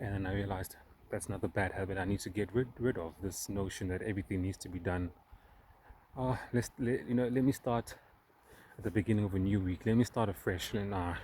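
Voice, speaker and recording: A man's fairly low, somewhat breathy voice with a non-native accent, at a very fast pace. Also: ordinary pitch variation. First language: not English. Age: 30s. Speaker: self-help vlogger. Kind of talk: personal vlog monologue. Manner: halting, with fillers and repeats.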